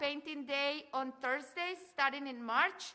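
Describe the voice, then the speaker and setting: In a Mexican accent, a raised, projected voice with a bright, sharp tone speaks at a fairly slow pace with fairly even intonation. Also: woman. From Mexico. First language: Spanish. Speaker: cultural center director and event host. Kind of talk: event announcements. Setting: live event with audience. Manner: halting.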